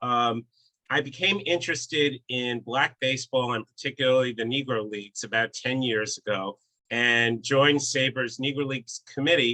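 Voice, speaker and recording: With an American accent, a man at medium pitch has a bright, sharp tone and ordinary pitch variation. He speaks at a moderate pace in a dry, close sound with no echo. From New York City, the Bronx. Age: 60s. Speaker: baseball author. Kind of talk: casual talk, online presentation.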